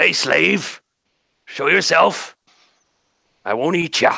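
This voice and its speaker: A man puts on a character voice that is guttural, raspy and fairly high-pitched. He speaks at a very slow pace. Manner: menacing.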